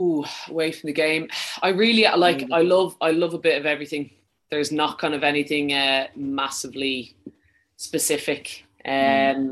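A woman with a Dublin accent speaks at a moderate pace in a very deep, low voice, her intonation fairly even. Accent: Irish, somewhat Dublin. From Ireland, County Wicklow. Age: 30s. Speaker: professional footballer. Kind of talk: interview.

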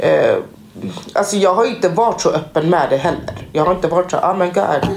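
With noticeable background noise and audible room echo, a woman speaks at a medium pitch and a moderate pace, her pitch varying in an ordinary way. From Guinea. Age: 30s. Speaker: assistant nurse. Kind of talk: casual chat.

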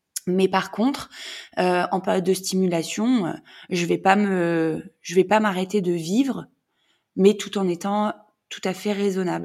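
Speaking at a very slow pace, a woman leaves long, frequent pauses. Her pitch is medium and her intonation fairly even. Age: 30s. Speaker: mother in fertility treatment. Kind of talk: testimony. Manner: halting.

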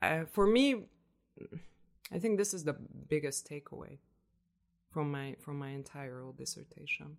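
Speaking in a Hungarian accent, a woman with a very deep, low pitch talks at a fairly slow pace with ordinary pitch variation, big swings in loudness, and long, frequent pauses. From Hungary, Budapest. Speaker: researcher. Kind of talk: interview. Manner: halting.

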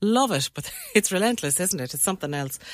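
A woman speaks with lively intonation. Noticeable background noise runs underneath. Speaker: radio host. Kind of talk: radio dj patter. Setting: radio studio. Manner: warm, chatty; animated, quick banter.

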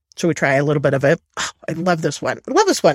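Somewhat breathy, a woman talks at a fairly quick pace in a dry, close sound with no echo. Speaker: Bible teacher. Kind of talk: lecture.

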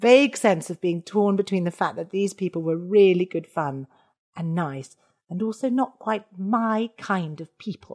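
Heard dry and close with no echo, a woman with an unremarkable speaking voice speaks at medium pitch and a moderate pace with lively intonation. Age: 40s. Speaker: comedian. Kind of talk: casual chat.

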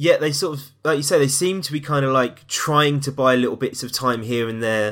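In a London accent, a man speaks fairly quickly with hardly any pauses, his fairly high pitch showing ordinary variation, on a very clean recording with a silent background. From East London. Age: 20s. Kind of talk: casual chat.

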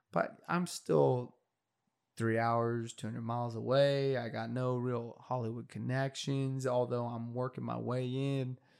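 A plain, everyday voice with an American accent, fairly slow pace and fairly even intonation on a very clean recording, silent background. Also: man. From rural California, ranch country. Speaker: aspiring screenwriter. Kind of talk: casual interview chat.

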